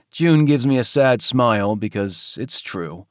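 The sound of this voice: Simply an unforced reading voice.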